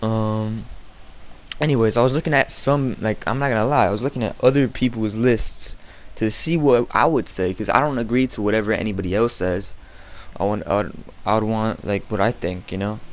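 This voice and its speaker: With ordinary pitch variation, a man talks at a medium pitch over noticeable background noise. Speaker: gaming YouTuber. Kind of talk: casual vlog commentary. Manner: fast; halting, stuttering.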